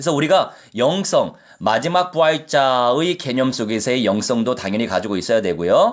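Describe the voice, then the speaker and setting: A man's medium-pitched voice makes very wide pitch swings. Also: moderate pace. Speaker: pastor. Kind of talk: sermon.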